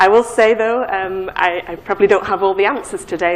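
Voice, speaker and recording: Over noticeable background noise, a woman with a northern English accent speaks at a moderate pace in a medium pitch, with fairly even intonation. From northern England. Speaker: pharmacology professor. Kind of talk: lecture. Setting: conference stage with audience. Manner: halting, many fillers and repeats.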